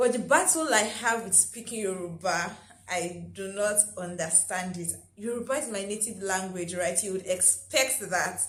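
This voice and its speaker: A woman with a Nigerian accent, medium in pitch with ordinary variation, at a moderate pace, amid noticeable background noise and audible room echo. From Nigeria (Lagos, Ogun State). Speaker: lifestyle vlogger. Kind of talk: casual vlog talk.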